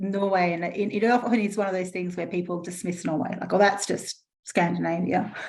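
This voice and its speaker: This woman talks at a very fast pace. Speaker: panel moderator at online event. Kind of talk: online panel discussion. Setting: online event.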